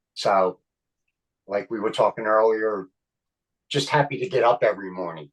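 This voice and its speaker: A fairly low male voice with long, frequent pauses, in a dry, close sound with no echo. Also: ordinary pitch variation, moderate pace. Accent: Philadelphia. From Philadelphia (Kensington). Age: 60s. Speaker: actor and comedian. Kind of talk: casual interview chat. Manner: animated.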